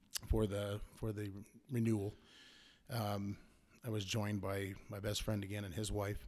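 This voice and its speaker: A man with an American accent, fairly low in pitch, at a moderate pace with monotone, flat intonation. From US Southwest (Arizona). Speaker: hunter and welder. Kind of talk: casual interview.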